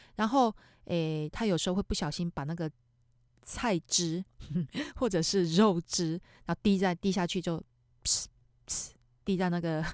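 Speaking with a Taiwanese accent, a woman uses a fairly low pitch, ordinary pitch variation, and a moderate pace. The recording is very clean with a silent background and a dry, close sound with no echo. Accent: Taiwanese Mandarin. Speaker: podcast host, real estate agent. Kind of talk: casual monologue.

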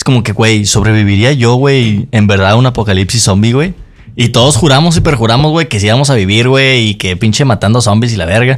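This man has a plain, everyday voice. His pitch sits at a medium level with ordinary pitch variation. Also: fairly quick pace. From Mexico. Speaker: podcast co-host. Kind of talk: casual chat.

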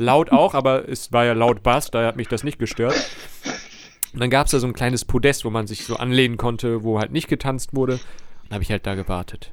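A man speaks fairly quickly at medium pitch, with fairly even intonation and a plain, everyday voice. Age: 30s. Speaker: podcast host. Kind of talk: casual chat.

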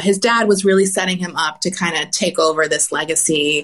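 A woman speaks with an American accent. The background is quiet. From US South. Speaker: podcast host. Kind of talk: casual chat.

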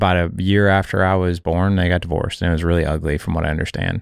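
Speaking at a very fast pace, a man with a very deep, low voice delivers his words in a flat monotone on a very clean recording with a silent background. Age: 40s. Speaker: fatherhood podcast founder and author. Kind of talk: casual interview chat, personal story.

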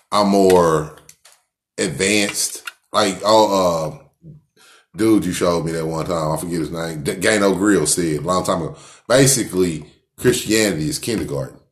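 A man talks at a very deep, low pitch, his loudness swinging widely. Audible room echo surrounds his voice. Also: ordinary pitch variation, moderate pace. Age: 40s. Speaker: cannabis podcast co-host. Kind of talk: casual chat.

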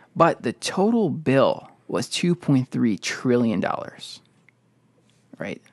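In a dry, close sound with no echo and a quiet background, a man with an American accent talks very slowly at a fairly high pitch, his voice making very wide pitch swings. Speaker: podcast host. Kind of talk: casual chat. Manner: halting, filler words.

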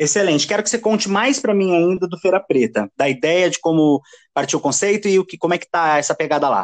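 A man with a high pitch talks at a very fast pace in an animated tone with lively intonation, recorded with a dry, close sound and no echo. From São Paulo metro area, Brazil (Osasco). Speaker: podcast host. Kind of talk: casual interview chat.

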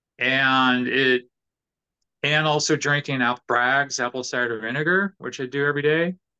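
A man with a medium pitch speaks at a moderate pace. His tone is bright and sharp, and his intonation stays fairly even. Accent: Californian. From Southern California, Orange County. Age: 50s. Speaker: professional guitarist. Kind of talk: casual interview chat.

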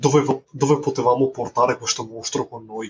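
Monotone, flat intonation at a moderate pace. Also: man. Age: 30s. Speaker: carpenter and indie film director. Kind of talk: casual interview. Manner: halting, repeats words.

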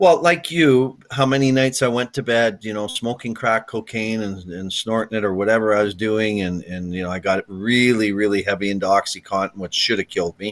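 A man with a western Canadian accent talks at a fairly quick pace with hardly any pauses. His pitch is fairly low with ordinary variation, over a quiet background. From Canada, near Edmonton, Alberta. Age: 50s. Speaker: retired hockey player. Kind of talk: interview.

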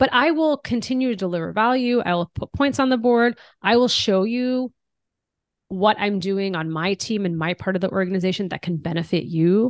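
Speaking in an American accent at a moderate pace, the voice sounds animated with lively intonation, recorded dry and close with no echo over a quiet background. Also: woman, medium pitch for a woman. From United States. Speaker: diversity executive and author. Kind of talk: interview.

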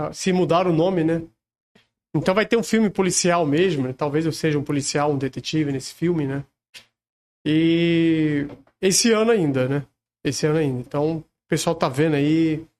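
The speaker goes at a moderate pace with ordinary pitch variation. Long pauses come often. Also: man, fairly high pitch for a man. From Rio de Janeiro, Brazil. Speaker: celebrity lookalike. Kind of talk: casual chat.

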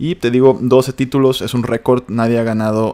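The speaker has a Mexican accent, a moderate pace and fairly even intonation. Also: man. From Mexico. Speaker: news podcast host. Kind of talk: casual news commentary. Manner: informal, chatty.

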